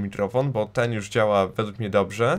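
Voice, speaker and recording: Heard at a moderate pace, the speech comes in a very clean recording with a silent background. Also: man. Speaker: gaming YouTuber. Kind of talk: casual vlog monologue. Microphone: new Blue Yeti USB mic, no noise reduction.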